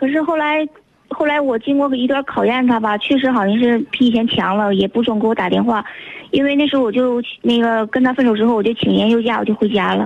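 A woman talks at a fairly quick pace in a high voice, with ordinary pitch variation and very even loudness. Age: 20s. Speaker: radio call-in listener. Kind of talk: phone-in conversation about relationship problem.

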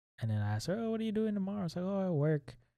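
The man's voice has a dark, mellow tone. The recording is very clean, with a silent background. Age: 30s. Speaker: host's husband. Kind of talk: casual chat.

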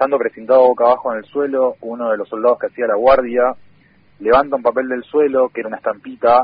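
A man speaks at a fairly quick pace with a Rioplatense accent. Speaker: community radio journalist. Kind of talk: interview.

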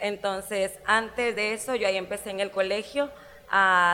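Bright and sharp in tone, a woman speaks at a medium pitch with fairly even intonation. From Guatemala, Jutiapa. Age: 30s. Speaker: zumba instructor. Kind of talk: casual interview.

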